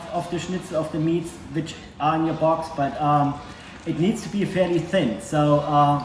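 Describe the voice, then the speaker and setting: With a German accent and a fairly high pitch, a man speaks at a moderate pace amid noticeable background noise and audible room echo. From East Germany. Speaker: guest cook. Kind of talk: cooking tutorial. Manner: hesitant, many filler words.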